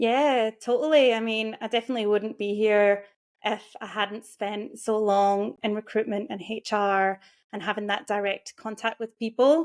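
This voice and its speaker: The recording is very clean, with a silent background. A woman with a Scottish accent speaks at a moderate pace in a fairly high pitch, with fairly even intonation. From Scotland. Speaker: career and mindset coach. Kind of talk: interview.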